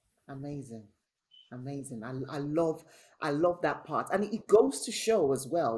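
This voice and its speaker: Warm tone on a very clean recording with a silent background. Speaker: interviewer, service manager. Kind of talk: interview. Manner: warm, encouraging.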